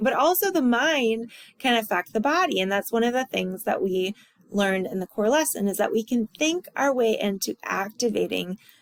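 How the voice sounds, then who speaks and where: This woman has an ordinary speaking voice, fairly high in pitch, with lively intonation at a moderate pace. The sound is dry and close, with no echo. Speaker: college instructor. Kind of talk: recorded lecture review.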